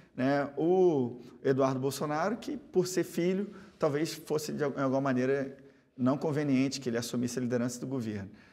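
Moving at a moderate pace, a man with a fairly high pitch and a dark, mellow tone speaks with ordinary pitch variation. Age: 40s. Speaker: politician. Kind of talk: TV interview. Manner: halting. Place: studio. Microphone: lapel.

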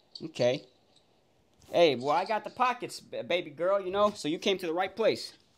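Speaking with an American accent, a man has a high pitch and lively intonation. His pace is moderate, and there is light background noise. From Miami, Florida. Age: 20s. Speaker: prank video-chat streamer. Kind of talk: casual chat with strangers on random video chat. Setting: video call. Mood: playful, flirty, joking. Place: home room. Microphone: webcam.

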